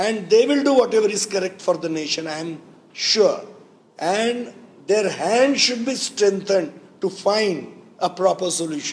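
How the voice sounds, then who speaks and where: At a moderate pace, a man talks with a high pitch amid audible room echo. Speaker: organisation leader. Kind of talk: press conference.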